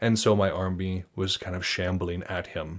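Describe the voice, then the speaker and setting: The recording is very clean, and the background is silent. A man talks in a very deep, low pitch. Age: 30s. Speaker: podcast host discussing wargaming and sagas. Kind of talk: casual monologue and interview.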